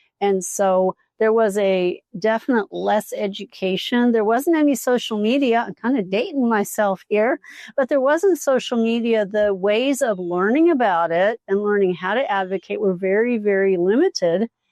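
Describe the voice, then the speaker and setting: A woman speaks at a moderate pace with fairly high pitch, lively intonation and hardly any pauses, in a normal speaking voice. The sound is dry and close with no echo, over a quiet background. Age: 60s. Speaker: podcast host, physical therapist. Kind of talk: casual chat. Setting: live at a retreat.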